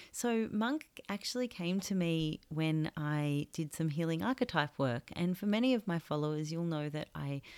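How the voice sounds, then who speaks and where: A woman speaks in a fairly low voice at a moderate pace. The recording is very clean, with a silent background. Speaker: podcast host and author. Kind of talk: reflective solo podcast monologue; reading aloud from own book. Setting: makeshift home recording studio.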